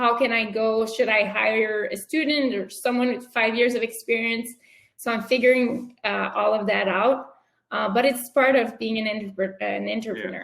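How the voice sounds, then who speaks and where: A woman with a French accent, fairly high in pitch, monotone and flat, at a moderate pace. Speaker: entrepreneur. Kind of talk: interview.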